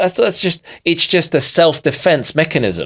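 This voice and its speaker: A man's fairly high voice with vocal fry. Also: dry, close sound with no echo. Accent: London. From London, England (immigrated as a child). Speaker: digital marketer and business coach. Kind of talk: podcast interview. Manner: emphatic, animated.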